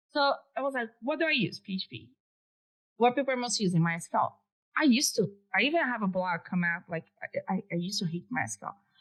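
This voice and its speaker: Speaking at a fairly quick pace with a Brazilian accent, a woman uses a fairly high pitch and very wide pitch swings. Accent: Brazilian accent, pronunciation errors. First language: Portuguese. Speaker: developer advocate. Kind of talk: podcast interview. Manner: casual, conversational.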